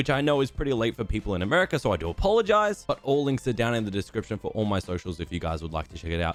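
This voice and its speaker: A man with an Australian accent. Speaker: gaming streamer. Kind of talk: tutorial. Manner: fast.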